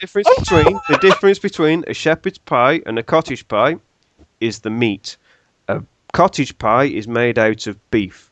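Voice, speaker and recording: A man's fairly high voice with a British accent and very wide pitch swings. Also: moderate pace, dry, close sound with no echo. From Britain. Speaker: podcast guest. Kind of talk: casual chat.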